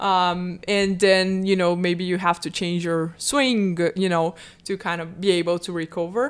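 Woman in a Portuguese accent, fairly low-pitched and fairly slow, in a very clean recording with a silent background. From Brazil. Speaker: sports psychology professor. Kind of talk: casual interview.

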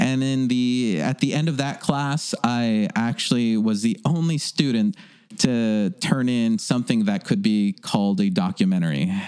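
A fairly slow speaker with an American accent and very wide pitch swings. There is noticeable background noise. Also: man, medium pitch for a man. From Los Angeles, North Hollywood. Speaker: documentary filmmaker. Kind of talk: casual chat.

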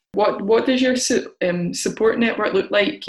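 Fairly high in pitch, a woman uses a normal speaking voice with lively intonation. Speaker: podcast host. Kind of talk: casual interview chat.

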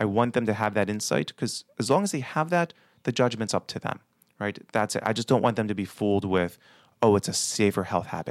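In a very clean recording with a silent background and a dry, close sound with no echo, a man speaks with an American accent. He has a plain, everyday voice, fairly low in pitch, with ordinary pitch variation and a fairly quick pace. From Baltimore, Maryland. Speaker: pulmonary physician. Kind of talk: interview.

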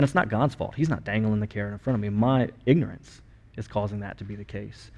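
Over a quiet background, a man with an American accent talks at a very fast pace in a medium-pitched, dark, mellow voice with fairly even intonation. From US. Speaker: pastor. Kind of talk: sermon.

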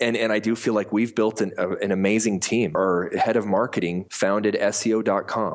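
At a moderate pace, a man with an American accent talks in a monotone, flat intonation. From US Mountain West (Colorado and Montana). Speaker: company founder and CEO. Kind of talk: interview.

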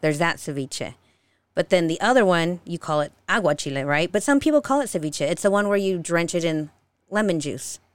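A woman with an American accent talks at a fairly quick pace in a plain, everyday voice, fairly low in pitch with lively intonation. The recording is very clean, with a silent background. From Utah, of Mexican parents. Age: 30s. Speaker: food content creator. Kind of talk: casual chat.

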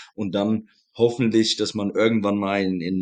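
Behind this man's voice, the setting is quiet. His pitch sits fairly low. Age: 40s. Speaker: American football head coach. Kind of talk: podcast interview.

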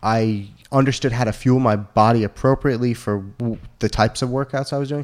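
On a very clean recording with a silent background, a man uses a normal speaking voice at a medium pitch, talking at a fairly quick pace with fairly even intonation. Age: 20s. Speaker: gym member and former touring musician. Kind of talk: casual chat.

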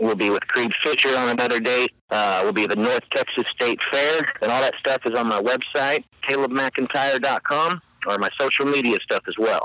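Using an ordinary speaking voice, a man with an American accent talks at a moderate pace and medium pitch, with ordinary pitch variation, very even loudness and a dry, close sound with no echo. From Ozark Mountains, Missouri. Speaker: country music singer. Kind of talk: casual interview.

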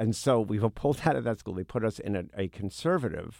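A man with an American accent speaks in an ordinary speaking voice at a fairly quick pace, his intonation lively, on a very clean recording with a silent background. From US Northeast (Brooklyn, New York). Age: 60s. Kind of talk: interview conversation.

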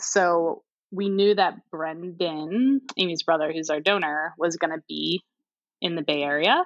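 A woman with an unremarkable speaking voice and an American accent, fairly slow, fairly low-pitched, with ordinary pitch variation and a dry, close sound with no echo. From St. Louis, Missouri, US Midwest. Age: 30s. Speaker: software worker. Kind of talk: casual interview.

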